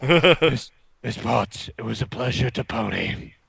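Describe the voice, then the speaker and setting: Using a put-on character voice, a man speaks raspy and at a medium pitch, at a fairly slow pace. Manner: purring, flirtatious.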